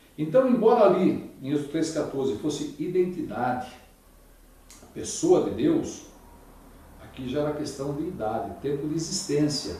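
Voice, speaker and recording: This man's pitch swings very widely. Audible room echo surrounds his voice. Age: 60s. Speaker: Bible lecturer. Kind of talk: religious lecture.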